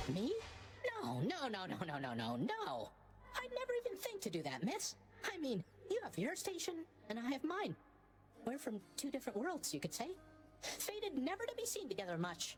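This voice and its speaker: A female-sounding put-on character voice at a moderate pace, with long, frequent pauses and clear background noise. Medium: video game. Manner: rambling, flustered.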